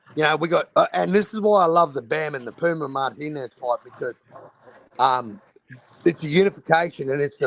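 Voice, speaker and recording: A man's animated, fairly high-pitched voice in an Australian accent, with lively intonation at a moderate pace, in a dry, close sound with no echo. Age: 40s. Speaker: boxing streamer. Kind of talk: casual chat.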